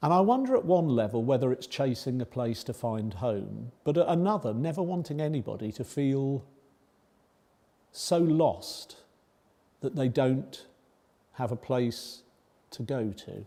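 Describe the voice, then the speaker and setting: With a southern English accent, the man has a dark, mellow tone and a medium pitch with lively intonation. He speaks at a fairly slow pace with long, frequent pauses. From northern England, Oldham near Manchester, moved to Kingston upon Thames at six. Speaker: charity founder. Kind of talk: public talk.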